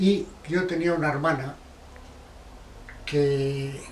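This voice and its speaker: A man talks in a fairly high pitch. The recording has audible room echo and noticeable background noise. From Basque Country, Spain (Barakaldo/Bilbao). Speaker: interviewee recalling the Spanish Civil War. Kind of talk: oral history interview. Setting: at his home.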